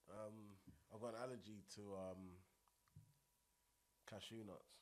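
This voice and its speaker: With a Buckinghamshire accent, a man speaks fairly slowly at a fairly low pitch in a monotone, flat intonation, with audible room echo. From High Wycombe, Buckinghamshire, England. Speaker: rapper. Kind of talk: casual chat.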